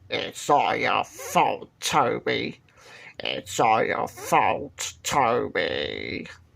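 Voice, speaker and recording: Someone performs a raspy put-on character voice at a very slow pace. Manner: accusing, repeating.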